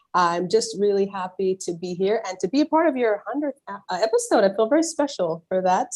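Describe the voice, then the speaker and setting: A woman uses a normal speaking voice at a medium pitch. She talks at a fairly quick pace with ordinary pitch variation. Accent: American. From US (raised from age three, Nigerian-born). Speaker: veterinarian. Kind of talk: interview. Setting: video call.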